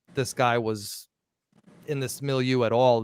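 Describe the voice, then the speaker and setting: Speaking at a medium pitch, a man talks with a Bronx accent. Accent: Bronx (Riverdale). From New York, the Bronx (Riverdale). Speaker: podcast host. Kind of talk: casual discussion. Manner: animated.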